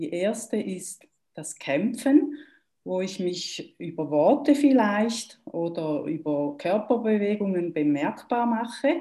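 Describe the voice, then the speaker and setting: With a Swiss German accent, a woman speaks at a very slow pace in a dark, mellow tone, her pitch swinging very widely and her loudness shifting a lot. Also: medium pitch for a woman. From German-speaking Switzerland. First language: Swiss German (speaking German). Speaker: trauma therapist. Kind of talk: interview.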